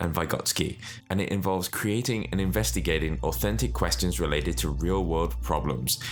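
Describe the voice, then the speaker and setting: His pitch leaps very widely as this man talks, with vocal fry in his voice. The pace runs fairly quick. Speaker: educator, private school founder. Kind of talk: educational explainer talk.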